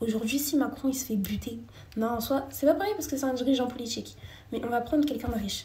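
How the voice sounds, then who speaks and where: A woman talks at a very fast pace with a high pitch and ordinary pitch variation. Noticeable background noise and audible room echo fill the recording. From France. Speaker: live streamer. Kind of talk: casual live chat with viewers. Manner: animated.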